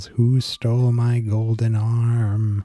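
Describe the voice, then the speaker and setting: Putting on a character voice, a man speaks at medium pitch with monotone, flat intonation. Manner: eerie, mournful.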